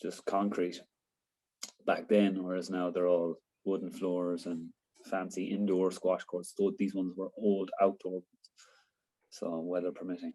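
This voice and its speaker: Fairly slow and in a flat monotone, a man with an Irish accent speaks at a very deep, low pitch with a dark, mellow tone. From Ireland, County Sligo. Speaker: interviewee on Irish sports. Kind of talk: casual interview. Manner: hesitant, many fillers.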